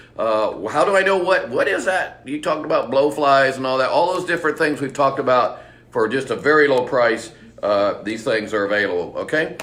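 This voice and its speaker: This man talks at a fairly quick pace with an American accent. There is audible room echo. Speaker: bird shop owner. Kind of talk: live seminar. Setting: live stream. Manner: fast; animated.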